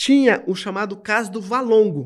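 Heard on a very clean recording with a silent background, a man talks at a moderate pace in a high pitch. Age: 50s. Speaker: law lecturer, human rights scholar. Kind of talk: interview conversation.

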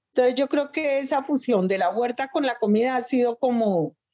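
Her tone dark and mellow, a woman speaks at a fairly slow pace in a high pitch with lively intonation. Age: 60s. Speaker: urban farmer and chef. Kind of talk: interview. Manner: animated.

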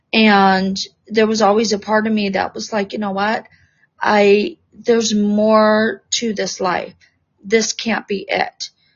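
A woman talks at a fairly slow pace with a somewhat breathy voice. Her fairly high pitch stays in fairly even intonation. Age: 50s. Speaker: spiritual teacher and life coach. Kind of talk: interview. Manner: hesitant, many fillers.

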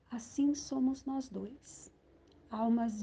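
A somewhat breathy woman with a dark, mellow tone, speaking at a very slow pace with fairly even intonation. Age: 60s. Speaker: poet and columnist. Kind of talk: poetry reading.

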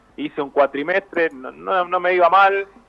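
Ordinary pitch variation marks this man's speech, delivered at a fairly slow pace. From Argentina, Avellaneda (Buenos Aires area). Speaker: sports journalist. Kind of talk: interview. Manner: halting, repeats words.

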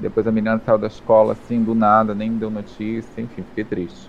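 This man's voice sits fairly low and stays monotone and flat. He talks at a moderate pace. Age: 20s. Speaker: drag performer and streamer. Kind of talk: casual chat.

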